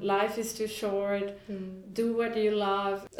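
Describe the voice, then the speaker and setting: Over noticeable background noise, a woman speaks at a very slow pace in a monotone, flat intonation. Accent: Spanish. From Honduras. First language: Spanish. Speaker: entrepreneur. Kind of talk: casual chat.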